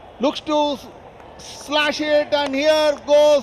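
A man's extremely high pitch in a monotone, flat delivery, with noticeable background noise. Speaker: cricket commentator. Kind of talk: live sports commentary. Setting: stadium broadcast commentary. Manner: formal, polished English with cricket clichés.

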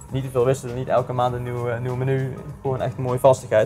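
Very fast speech with faint music in the background. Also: man. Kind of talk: interview answer. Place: kitchen. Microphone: lapel.

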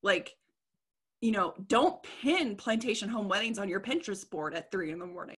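The tone is bright and sharp, with an American accent. The background is quiet. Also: woman. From Indiana or Louisville area, US Midwest; US Midwest. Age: 30s. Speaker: history content creator; interview guest. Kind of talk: casual chat. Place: home room. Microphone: video call.

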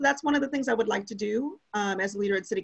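A woman with a medium pitch and a somewhat breathy voice speaks at a very fast pace with ordinary pitch variation. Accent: American. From Minnesota, St. Paul and Shoreview. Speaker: city council candidate. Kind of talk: candidate forum answers.

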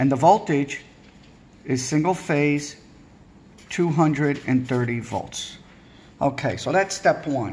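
Somewhat breathy and fairly high-pitched, a man speaks at a very slow pace with long, frequent pauses and ordinary pitch variation. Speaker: electrical trade instructor. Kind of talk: tutorial. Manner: informal, repetitive. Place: home room. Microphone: phone near.

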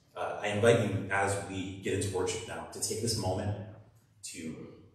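A man talks at a moderate pace with strong echo filling the room. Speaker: pastor. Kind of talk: sermon. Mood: warm, joking welcome. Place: church.

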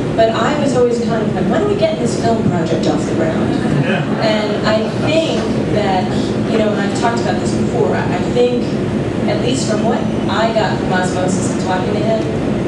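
Loud background noise and audible room echo surround speech at a moderate pace with long, frequent pauses. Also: woman. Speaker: panelist. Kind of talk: panel discussion answer. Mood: reflective. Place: hall.

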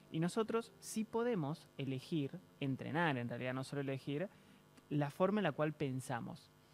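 Lively intonation carries the speech at a moderate pace over light background noise. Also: man, fairly high pitch for a man. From Argentina. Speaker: interview guest. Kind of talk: TV interview. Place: studio. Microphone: studio mic.

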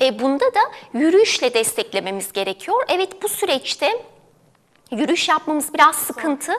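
A woman speaks with a high pitch and very wide pitch swings. Her pace is moderate. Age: 30s. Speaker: dietitian. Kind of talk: TV health interview. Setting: studio. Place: studio. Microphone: lapel.

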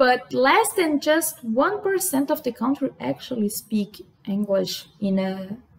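Her pitch swinging very widely, a woman talks at a very slow pace. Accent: Brazilian. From Brazil. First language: Portuguese. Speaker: vlogger. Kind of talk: casual talk to camera. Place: home room. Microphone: webcam.

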